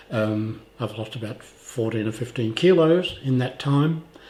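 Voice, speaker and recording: A man talks in a somewhat breathy voice with an Australian accent. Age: 80s+. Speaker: vlogger with cancer. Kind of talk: video diary.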